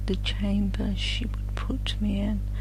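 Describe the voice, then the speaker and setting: Noticeable background noise surrounds a voice that stays soft-spoken. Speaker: audiobook narrator. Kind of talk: sleep story.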